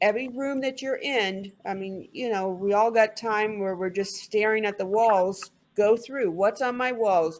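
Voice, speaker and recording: A woman's medium-pitched voice in an American accent, fairly slow, with hardly any pauses and ordinary pitch variation. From US South. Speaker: English tutor. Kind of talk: online tutoring conversation.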